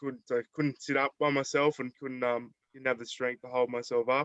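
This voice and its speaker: A man with a medium-pitched voice talks in a flat monotone, the sound dry and close with no echo. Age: 20s. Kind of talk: presentation to online audience. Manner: halting, many fillers.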